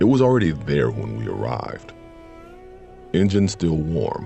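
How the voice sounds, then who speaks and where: A man's very deep, low voice with very wide pitch swings, fairly slow, with music in the background. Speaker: voice actor. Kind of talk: horror story narration. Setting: studio.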